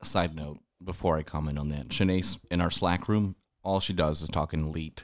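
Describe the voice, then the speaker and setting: The man's voice is very deep and low, his intonation fairly even, and his pace moderate. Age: 30s. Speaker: podcaster guest. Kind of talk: casual chat.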